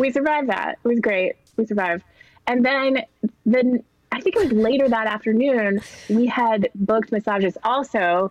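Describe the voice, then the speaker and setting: At a moderate pace, a woman uses a plain, everyday voice with a fairly high pitch and ordinary pitch variation. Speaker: comedy writer. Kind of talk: casual chat.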